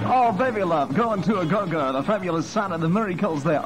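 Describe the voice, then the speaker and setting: Clear music plays in the background as a man with a high pitch talks very fast with lively intonation. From Australia. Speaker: radio disc jockey host. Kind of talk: 1960s radio show host patter. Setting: radio broadcast. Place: studio. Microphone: old recording.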